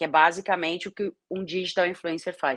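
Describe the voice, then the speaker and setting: With a slight São Paulo interior accent, a woman talks at a moderate pace in a dry, close sound with no echo against a quiet background. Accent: slight Piracicaba interior. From Piracicaba, São Paulo state interior, Brazil. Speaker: sports journalist and digital influencer. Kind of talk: interview.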